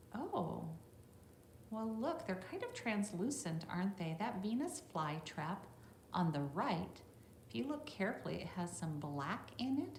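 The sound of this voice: With audible room echo, a woman speaks fairly slowly in a slightly mellow tone, her pitch swinging widely. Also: medium pitch for a woman.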